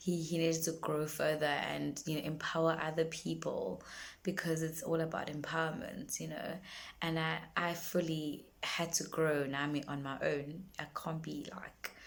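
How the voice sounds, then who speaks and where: With a South African accent, a woman speaks at a moderate pace in a very deep, low pitch with vocal fry. Her intonation stays monotone and flat amid audible room echo. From South Africa, Durban. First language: isiZulu. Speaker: singer-songwriter. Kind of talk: casual vlog monologue. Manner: halting, many fillers and repetitions.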